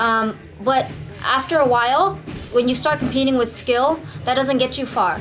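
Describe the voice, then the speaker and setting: A woman with a high voice and ordinary pitch variation talks at a moderate pace, noticeable background noise behind her. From Vietnam, raised from age 8 in East Oakland, California. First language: Vietnamese. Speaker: Muay Thai and MMA fighter. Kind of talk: event promotion; interview testimony. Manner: casual, halting with repetitions.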